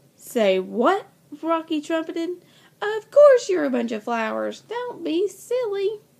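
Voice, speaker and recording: In a put-on character voice, a woman bellows at an extremely high pitch and a fairly slow pace. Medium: read story. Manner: bossy, bellowing.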